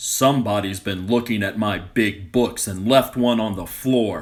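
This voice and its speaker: Putting on a growling character voice, a man speaks at a moderate pace with a fairly low pitch and ordinary pitch variation. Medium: read story.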